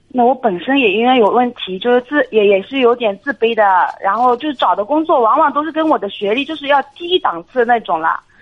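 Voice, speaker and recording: Her voice is high-pitched, and this woman speaks at a fairly quick pace with lively intonation. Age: 30s. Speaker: temporary worker at a state firm. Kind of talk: radio call-in advice.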